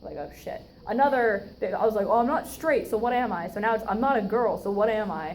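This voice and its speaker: Audible room echo surrounds a woman's voice. She talks at a very fast pace with ordinary pitch variation. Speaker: student club officer giving educational talk. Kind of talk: informal educational talk. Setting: room with live audience. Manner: casual, filler-heavy.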